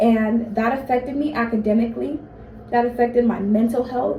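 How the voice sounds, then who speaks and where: Noticeable background noise and audible room echo surround a woman speaking at a moderate pace in a fairly high pitch. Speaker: college student. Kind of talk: speech to classmates.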